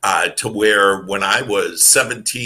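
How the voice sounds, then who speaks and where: A man with a Wisconsin accent speaks at a fairly slow pace. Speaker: motivational speaker and author. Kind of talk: podcast interview. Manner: halting, many fillers.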